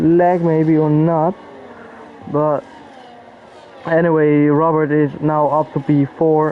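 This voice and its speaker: A man's fairly high, flat monotone voice with a non-native accent, very slow and very even in loudness, with long, frequent pauses and noticeable background noise. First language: not English. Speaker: sim racing commentator. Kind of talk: live commentary. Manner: casual.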